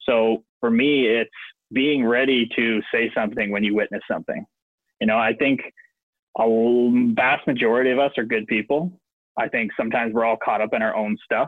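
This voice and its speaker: A man speaks at a moderate pace with a medium pitch, very even loudness and fairly even intonation. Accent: Ontario. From Ontario, Canada. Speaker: professional hockey player. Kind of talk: interview.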